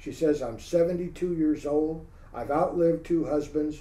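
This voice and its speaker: A man with an American accent speaks at a moderate pace in a fairly high voice with a dark, mellow tone. Audible room echo surrounds his words. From San Francisco Bay Area, California. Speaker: UFO researcher, former military policeman. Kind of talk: interview, storytelling.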